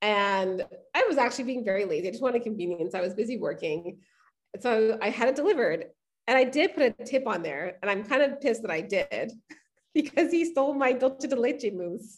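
Animated in tone, a woman talks at a fairly quick pace with a high pitch. Her pitch swings are very wide. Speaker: podcast host. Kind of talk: casual chat.

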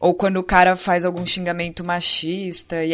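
Fairly slow speech from a woman, fairly low in pitch. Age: 20s. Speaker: gamer. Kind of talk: casual chat.

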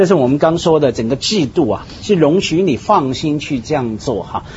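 Moderate pacing over noticeable background noise. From Hong Kong. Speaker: talk show panelist. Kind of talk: casual chat.

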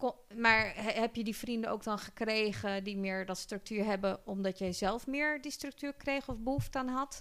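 A woman with a plain, everyday voice and a fairly high pitch speaks with ordinary pitch variation and hardly any pauses. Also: moderate pace. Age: 40s. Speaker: podcast host. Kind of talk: casual chat.

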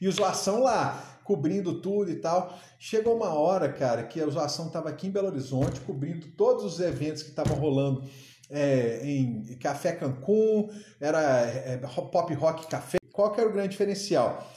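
Amid noticeable background noise and audible room echo, a man with a fairly high pitch speaks at a moderate pace in an animated tone with lively intonation. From Minas Gerais, Brazil (Uberaba, Triângulo Mineiro). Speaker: aquarium shop owner and entrepreneur. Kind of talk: casual interview chat. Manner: animated, with frequent repetitions and fillers.

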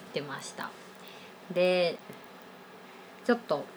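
The woman speaks at a very slow pace. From Osaka, Japan. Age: 20s. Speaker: freelance IT engineer and podcast co-host. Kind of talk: casual chat.

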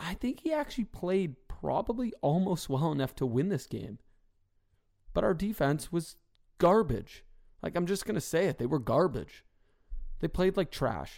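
A man with a high pitch speaks at a moderate pace in an animated tone, with very wide pitch swings. Long, frequent pauses break up his speech. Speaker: podcast host. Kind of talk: solo sports commentary and interview. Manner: animated, frustrated.

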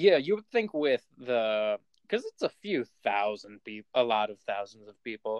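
The man has a normal speaking voice at a medium pitch, with lively intonation and a moderate pace. His loudness swings a lot, and the sound is dry and close with no echo. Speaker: podcast host. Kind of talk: casual chat. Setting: remote recording.

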